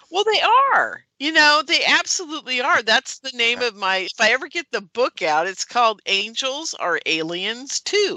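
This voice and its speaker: High-pitched woman's raised, projected voice with very wide pitch swings, hardly any pauses, and a dry, close sound with no echo. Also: moderate pace. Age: 60s. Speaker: UFO conference producer and radio host. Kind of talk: casual interview chat. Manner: animated.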